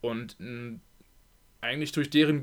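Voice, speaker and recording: An ordinary speaking voice from a man at medium pitch, fairly quick pace, on a very clean recording with a silent background. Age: 20s. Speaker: handball player. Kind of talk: casual chat. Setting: at home.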